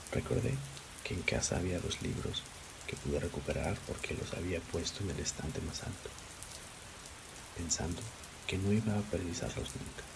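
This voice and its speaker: Whispering and soft-spoken, a man talks at a moderate pace with long, frequent pauses over noticeable background noise. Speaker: ASMR creator. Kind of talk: essay reading. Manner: whispered.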